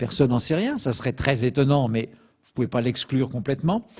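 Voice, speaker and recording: Fairly high in pitch, this man's voice has a dark, mellow tone. His pitch varies in an ordinary way. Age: 70s. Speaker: petroleum expert lecturer. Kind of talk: lecture. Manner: hesitant fillers (euh).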